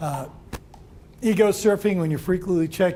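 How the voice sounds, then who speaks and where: Audible room echo fills the space. Through it, a man talks at a fairly quick pace. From New York. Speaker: employment lawyer. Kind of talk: seminar lecture. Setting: room with live audience. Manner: fast.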